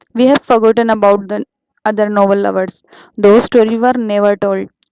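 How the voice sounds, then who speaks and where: In an Indian accent, a woman with a dark, mellow tone speaks at a fairly high pitch and moderate pace, with fairly even intonation and a dry, close sound with no echo. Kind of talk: audiobook reading.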